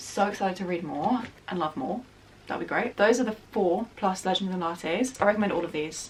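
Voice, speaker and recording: An animated woman's voice at medium pitch, fairly quick in pace with ordinary pitch variation, over noticeable background noise. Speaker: book youtuber. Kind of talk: casual book review monologue. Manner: fast.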